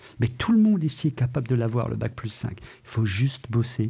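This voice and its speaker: A man talks with vocal fry in a dark, mellow tone. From Ardennes, France. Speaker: deputy school principal. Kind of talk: interview.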